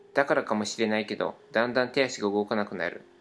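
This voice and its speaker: With music in the background, a man of medium pitch talks at a fairly quick pace and with fairly even intonation. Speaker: podcast co-host. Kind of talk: reading aloud. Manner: stumbling over words.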